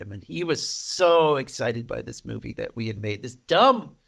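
Vocal fry runs through this voice. It moves at a moderate pace with very wide pitch swings. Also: man. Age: 40s. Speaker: podcast co-host. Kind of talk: casual chat.

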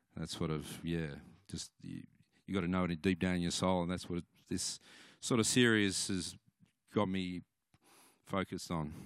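Speaking with an Australian accent, a man with a very deep, low pitch talks at a moderate pace with long, frequent pauses, in a very clean recording with a silent background and a dry, close sound with no echo. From Australia, Cooma, New South Wales. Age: 40s. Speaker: musician. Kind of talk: testimony. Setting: church. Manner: halting.

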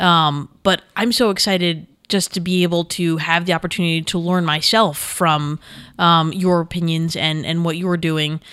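This woman has an ordinary speaking voice with an American accent and a fairly low pitch. She talks at a moderate pace with fairly even intonation in a very clean recording with a silent background. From New York. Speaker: multimedia director. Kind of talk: casual interview.

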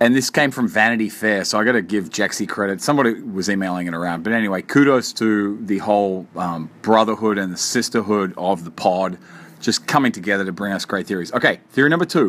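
A man with a fairly low pitch talks at a very fast pace with hardly any pauses. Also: ordinary pitch variation. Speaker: podcast host. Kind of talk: solo podcast monologue. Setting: hotel room. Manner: halting, many fillers and repeats.

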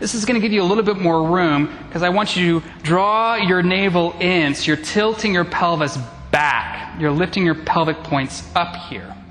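This man speaks at a moderate pace in a calm tone with a high pitch, ordinary pitch variation and hardly any pauses, over noticeable background noise. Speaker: yoga instructor. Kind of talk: live guided vinyasa yoga class cueing poses to the breath. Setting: in-person class with students in the room. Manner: steady, calm instructional cueing paced to inhale and exhale; encouraging, with brief affirmations between cues.

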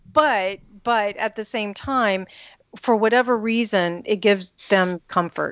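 In a quiet background with a dry, close sound and no echo, a woman with an American accent and an unremarkable speaking voice talks at a fairly slow pace, with fairly high pitch and ordinary pitch variation. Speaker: radio host and psychic advisor. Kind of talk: casual chat.

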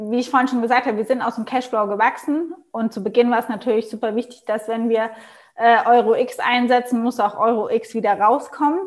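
A woman speaks in an unremarkable speaking voice. Her pitch is fairly high and her intonation fairly even. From Germany, Mannheim region. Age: 20s. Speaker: entrepreneur. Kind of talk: interview.

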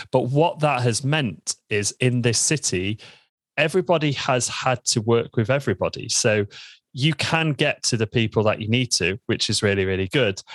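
Against a quiet background, a man with an East Midlands accent speaks at medium pitch and a moderate pace with lively intonation, the sound dry and close with no echo. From Lincoln, England. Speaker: membership business founder. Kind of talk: interview.

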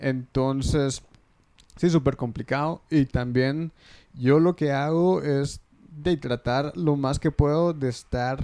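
Speaking at a very slow pace, a man with a fairly high pitch and a dark, mellow tone uses ordinary pitch variation. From Guatemala. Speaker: wedding videographer. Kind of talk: casual interview chat.

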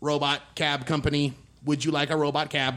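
A man's put-on character voice, fairly high in pitch, with monotone, flat intonation. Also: fairly quick pace.

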